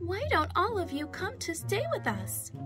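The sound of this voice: With clear music in the background, a put-on character voice keeps a moderate pace.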